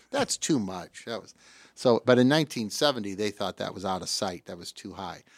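Someone with a Midwestern US accent speaks at a fairly quick pace, with ordinary pitch variation and big swings in loudness, in a very clean, dry, close recording with no echo and a silent background. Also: man, fairly low pitch for a man. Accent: US Midwest. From Davenport, Iowa. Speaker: radio host. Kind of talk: casual chat.

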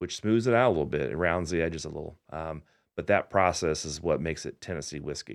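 A man with an American accent speaks fairly quickly in a very deep, low voice with ordinary pitch variation. The recording is very clean, with a silent background. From Indiana. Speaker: bar and craft studio co-owner. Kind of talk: radio interview. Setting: radio studio.

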